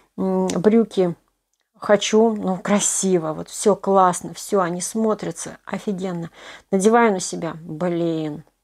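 A woman at a very slow pace with fairly even intonation, over a quiet background. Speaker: knitting blogger; knitting live-stream host. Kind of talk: live stream Q&A. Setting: live online broadcast. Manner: casual, conversational. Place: home room. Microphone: poor connection, stream lagging; phone near.

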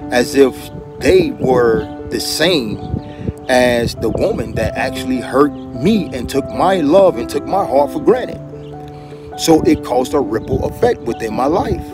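Clear music plays in the background as a man speaks at a fairly slow pace with long, frequent pauses. The sound is dry, with no echo. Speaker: relationship vlogger. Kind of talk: casual vlog chat. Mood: earnest, reflective. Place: street. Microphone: phone near.

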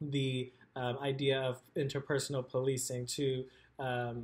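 A man's somewhat breathy voice with monotone, flat intonation. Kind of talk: talk about own book. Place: home room. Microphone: webcam.

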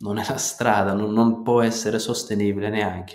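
This is a man speaking. His pitch sits fairly low. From Kurdistan, Turkey. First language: Turkish or Kurdish (speaking Italian). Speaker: natural farmer. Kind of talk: interview.

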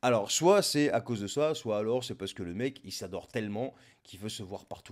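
In a quiet setting, a man's pitch moves in an ordinary way as he talks at a moderate speed. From Lebanon. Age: 40s. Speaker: political commentator. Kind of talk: political monologue. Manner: sarcastic. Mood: sarcastic, mocking. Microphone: studio mic.

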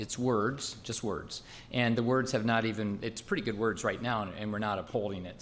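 With audible room echo around him, a man speaks at medium pitch with fairly even intonation. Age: 60s. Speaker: city mayor. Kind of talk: council meeting discussion. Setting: council chamber. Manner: halting, many fillers.

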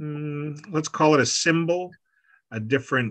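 Against a quiet background, a man with a Canadian accent uses a normal speaking voice, fairly high in pitch, with ordinary pitch variation. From Canada, Prairies; Canada. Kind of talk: online artist talk. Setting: video call. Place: home room. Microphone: video call.

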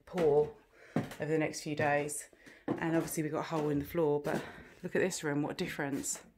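A woman with a very deep, low pitch speaks at a fairly quick pace in a monotone, flat intonation. Background noise is noticeable. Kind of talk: casual vlog chat. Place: home room. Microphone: phone near.

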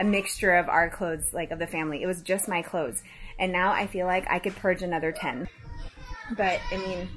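A woman's fairly even intonation over faint background music. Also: fairly quick pace. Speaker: mother vlogger. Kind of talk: casual vlog chat. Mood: playful, mildly embarrassed. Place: home room. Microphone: phone near.

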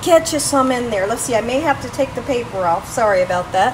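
A woman's high-pitched voice at a fairly quick pace, with lively intonation and light background noise. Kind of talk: tutorial. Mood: warm, upbeat. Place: kitchen. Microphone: phone near.

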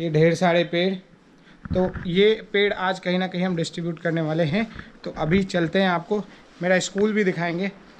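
A man talks at a moderate pace in a high pitch, with monotone, flat intonation. He leaves long, frequent pauses, and light background noise sits behind him. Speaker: travel vlogger on a motorbike tour. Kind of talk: casual vlog chat. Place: garden. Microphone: phone near.

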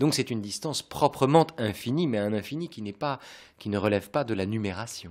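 Over a quiet background, a man delivers his words at a moderate pace. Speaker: radio host. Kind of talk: radio discussion. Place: home room. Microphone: studio mic.

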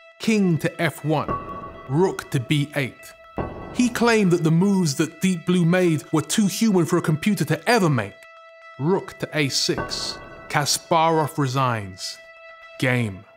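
Clear music plays behind a man with a high pitch and lively intonation. He speaks fairly slowly, with long, frequent pauses. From UK. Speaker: spoken word poet and radio presenter. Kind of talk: poem performed on film. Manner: rhythmic, performed.

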